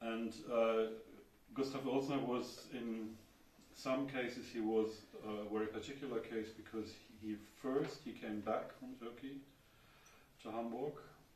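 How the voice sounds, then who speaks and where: A man with a German accent speaks at a medium pitch in a monotone, flat delivery, slowly and with long, frequent pauses. Audible room echo and noticeable background noise fill the recording. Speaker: architecture writer. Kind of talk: lecture. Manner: halting.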